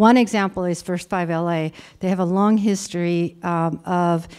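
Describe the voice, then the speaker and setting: With an Armenian accent, a woman speaks in a dark, mellow, fairly low voice with monotone, flat intonation. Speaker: conference speaker. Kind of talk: conference presentation. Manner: halting, many fillers.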